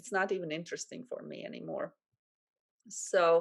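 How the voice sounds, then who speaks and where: A woman with a Latvian accent and a fairly low pitch, against a quiet background. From Latvia, Valmiera. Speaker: life coach. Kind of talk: interview. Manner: halting.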